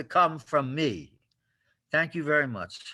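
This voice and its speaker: A man's bright, sharp tone comes through on a very clean recording with a silent background. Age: 70s. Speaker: homeless advocate. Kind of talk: public meeting speech.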